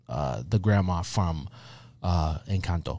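An animated tone with lively intonation. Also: man. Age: 30s. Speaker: podcast co-host. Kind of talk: casual chat.

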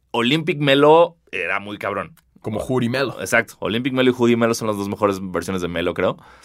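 With a Mexican accent, a man talks at a fairly quick pace in a medium pitch, his intonation lively. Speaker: podcast host. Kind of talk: casual chat.

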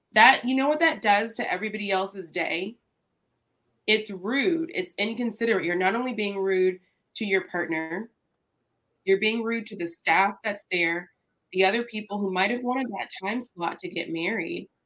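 A woman with an American accent, an unremarkable speaking voice, medium pitch, lively intonation and a moderate pace. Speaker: lawyer and guest co-host. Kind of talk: casual chat. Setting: video call.

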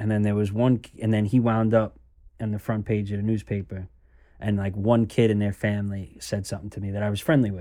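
With an American accent, a man talks at a fairly quick pace in a fairly low, dark, mellow voice. His intonation is monotone and flat, and the recording is very clean with a silent background. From New York. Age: 20s. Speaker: son of a former mobster. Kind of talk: interview conversation.

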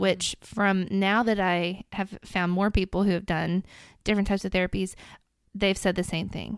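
With a Tennessee accent, a woman speaks at medium pitch and a moderate pace, her intonation fairly even. The recording is very clean with a silent background, and the sound is dry and close with no echo. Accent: Southern US (Tennessee). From Middle Tennessee. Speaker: mother sharing parenting experience. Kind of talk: casual interview chat.

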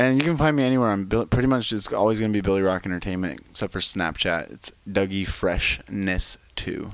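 With an unremarkable speaking voice, a man with a fairly low pitch talks at a fairly quick pace with lively intonation and hardly any pauses. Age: 20s. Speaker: entertainer and event host. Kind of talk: casual chat.

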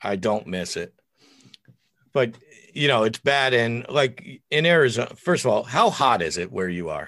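The tone is bright and sharp, the pitch swings very widely, and long, frequent pauses break up a moderate pace. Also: man, medium pitch for a man. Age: 50s. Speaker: author and podcaster. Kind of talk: casual chat. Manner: loud.

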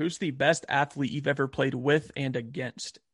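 Here a man speaks with a Southern US accent and a fairly high pitch. The sound is dry and close with no echo, and his intonation is fairly even. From US South, Albany, Georgia. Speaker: podcast host. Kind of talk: casual interview.

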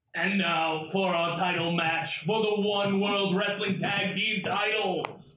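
With a slight echo, a man in a put-on character voice projects at a high pitch, speaking fairly slowly with flat, monotone intonation and very even loudness. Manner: bellowing.

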